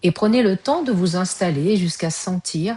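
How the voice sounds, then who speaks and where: In a dry, close recording with no echo, a woman speaks fairly slowly, somewhat breathy, with a dark, mellow tone. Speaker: yoga nidra guide. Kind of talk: guided yoga nidra relaxation. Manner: slow, soft-spoken, calm.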